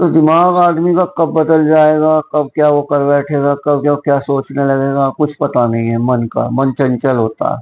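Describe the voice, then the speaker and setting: A plain, everyday voice with fairly even intonation, dry and close with no echo. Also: man, fairly high pitch for a man, hardly any pauses. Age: 60s. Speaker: schoolteacher. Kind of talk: moral talk to camera.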